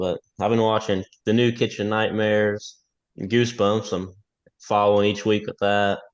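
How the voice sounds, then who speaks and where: A man with a Kentucky accent talks fairly quickly in a monotone, flat intonation. His pitch is fairly low, and the background is quiet. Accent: Kentucky Southern. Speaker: podcast guest. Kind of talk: casual chat.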